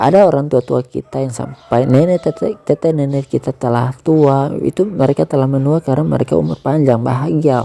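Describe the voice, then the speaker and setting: The voice is soft-spoken, at a fairly quick pace. There are hardly any pauses. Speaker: amateur radio-style host giving devotional talk. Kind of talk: casual devotional talk. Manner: soft, low volume.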